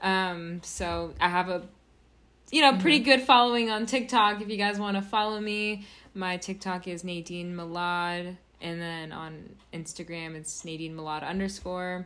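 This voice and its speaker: Captured in a very clean recording with a silent background, a woman talks at a moderate pace and medium pitch, with ordinary pitch variation and big swings in loudness. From Los Angeles. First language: Arabic. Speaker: writer and actress. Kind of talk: casual chat.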